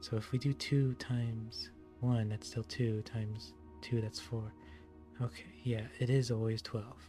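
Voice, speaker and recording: A soft-spoken man talks at a fairly slow pace, with medium pitch and a calm tone. His intonation is lively, and music plays in the background. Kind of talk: ASMR gaming longplay commentary. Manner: soft-spoken, calm.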